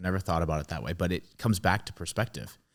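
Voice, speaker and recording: On a very clean recording with a silent background, a man with a Boston accent talks at a very fast pace, his very deep, low pitch held in fairly even intonation. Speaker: podcast host. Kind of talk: interview. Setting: podcast.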